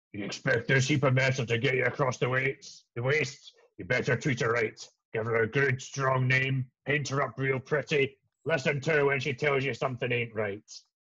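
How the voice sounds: In a gruff, put-on character voice, a man speaks at a moderate pace and a medium pitch.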